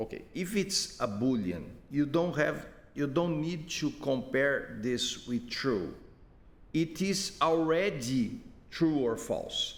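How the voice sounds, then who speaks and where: A man with a non-native accent speaks at a very slow pace, his pitch fairly high. His intonation is lively, and the room echo is audible. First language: not English. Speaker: software developer giving user support. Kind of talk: screen-recorded tutorial. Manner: halting, many repetitions.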